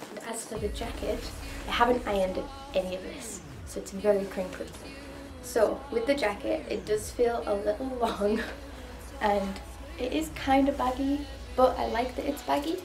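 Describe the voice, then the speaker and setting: A woman at a moderate pace, with big swings in loudness and long, frequent pauses over clear music in the background. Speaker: costume reviewer. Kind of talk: casual vlog chat. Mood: cheerful, chatty, laughing. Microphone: camera far.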